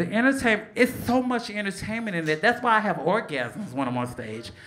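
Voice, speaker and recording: A woman with an American accent speaks at a fairly quick pace, her pitch swinging very widely. Light background noise can be heard. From Chicago. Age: 40s. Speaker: stand-up comedian. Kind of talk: stand-up comedy set. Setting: comedy club stage. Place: stage. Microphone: handheld.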